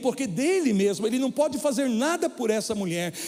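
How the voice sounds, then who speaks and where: A man's extremely high pitch with very wide pitch swings. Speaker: preacher. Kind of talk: sermon. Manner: stumbling over words.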